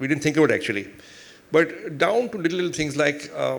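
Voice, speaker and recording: Very fast speech from a man with an Indian accent, with audible room echo. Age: 60s. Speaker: business executive and investor. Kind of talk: onstage interview.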